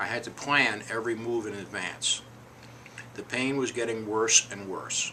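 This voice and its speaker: A man's normal speaking voice at a medium pitch, moderate pace and fairly even intonation. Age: 60s. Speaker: hip replacement patient. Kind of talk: personal testimony.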